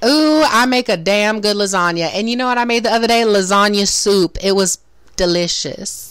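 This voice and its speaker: Noticeable background noise sits under a woman speaking at a medium pitch and a moderate pace, with ordinary pitch variation and very even loudness. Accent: American. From US South, Florida Panhandle. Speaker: podcast host. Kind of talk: casual chat. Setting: livestream video chat.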